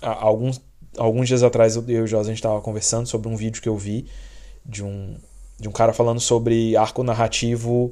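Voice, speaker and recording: A man's medium-pitched, dark, mellow voice in a monotone, flat delivery at a fairly quick pace. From Brazil. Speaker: podcast host. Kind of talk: casual chat.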